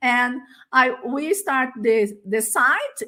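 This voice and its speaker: Speaking at a very slow pace with a Portuguese accent, a woman has a bright, sharp tone and ordinary pitch variation. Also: very clean recording, silent background. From Brazil. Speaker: educator and teacher trainer. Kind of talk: conference presentation. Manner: halting, many fillers.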